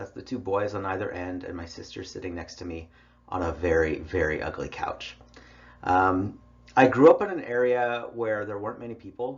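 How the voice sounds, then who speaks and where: With audible room echo, a man speaks somewhat breathily at a fairly low pitch with ordinary pitch variation. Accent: American. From US West, Idaho. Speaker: college English instructor. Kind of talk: online lecture. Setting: recorded online class with headphones. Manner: casual, conversational.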